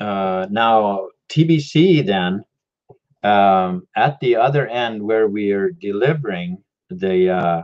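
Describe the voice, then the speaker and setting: Lively intonation marks this voice in a Mexican accent. The pace is very slow, with long, frequent pauses. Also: man. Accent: Mexican accent, doesn't sound Canadian. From Mexico. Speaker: crypto and free energy video host. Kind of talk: live stream talk. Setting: live YouTube stream. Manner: halting, many fillers.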